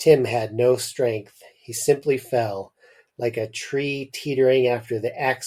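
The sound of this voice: An unforced reading voice in a quiet setting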